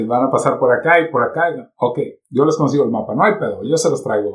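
A man's fairly high pitch with vocal fry and lively intonation. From Mexico. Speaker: internet radio and podcast producer. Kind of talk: casual chat.

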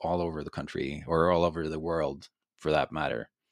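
The speaker has a Norwegian accent. The recording is very clean and dry, with a silent background, a close sound and no echo. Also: man. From Norway. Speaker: beer expert and podcaster. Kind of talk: interview. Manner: halting, many fillers and repeats.

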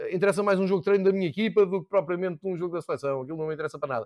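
A man speaks against a quiet background. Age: 40s. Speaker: football commentator and podcaster. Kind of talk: casual chat.

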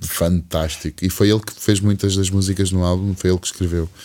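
This is a man speaking. His pace is moderate. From Algarve, Portugal. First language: English (speaking Portuguese). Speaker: singer-songwriter. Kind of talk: casual interview chat. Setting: studio.

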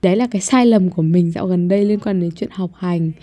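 The woman's tone is dark and mellow. Her pitch variation is ordinary. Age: young. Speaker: podcast host. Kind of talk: casual monologue. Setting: home recording room. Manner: rambling, conversational.

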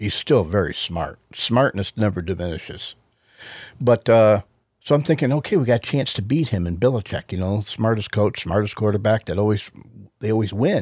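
In a very clean recording with a silent background and a dry, close sound with no echo, a man with an ordinary speaking voice talks at a moderate pace and medium pitch with lively intonation. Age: 60s. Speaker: podcast co-host, Bible teacher. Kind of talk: casual Bible teaching; casual chat.

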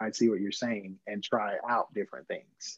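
A normal speaking voice from a man, fairly low in pitch, with fairly even intonation. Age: 20s. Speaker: church creative team member. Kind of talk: casual chat.

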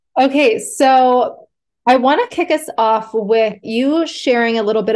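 A woman speaks in an ordinary speaking voice. Her intonation is lively. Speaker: podcast host. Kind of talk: casual interview chat. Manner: warm, upbeat.

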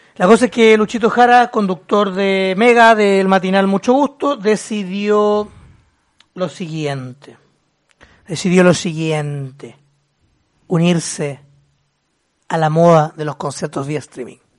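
Using lively intonation and a high pitch, a man speaks at a very slow pace with long, frequent pauses. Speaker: podcast host. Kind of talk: casual chat.

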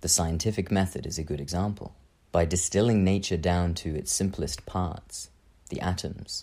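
A man with a very deep, low pitch and a dark, mellow tone speaks at a moderate pace, with vocal fry and ordinary pitch variation. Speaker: spiritual teacher and podcaster. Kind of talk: monologue talk on belief.

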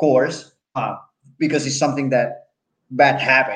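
A man talks with a Puerto Rican accent. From Puerto Rico. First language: Spanish. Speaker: podcast host. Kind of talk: interview. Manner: animated.

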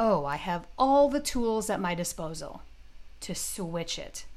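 A woman speaks with an American accent, and some room echo can be heard. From US Midwest, Detroit. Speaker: podcast host and business coach. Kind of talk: solo podcast monologue.

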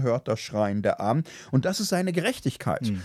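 A man with an ordinary speaking voice talks at a medium pitch with lively intonation, in a very clean recording that has a dry, close sound with no echo and a silent background. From Germany, Ruhr area (Gelsenkirchen). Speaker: theology professor and podcast co-host. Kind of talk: casual discussion on ethics.

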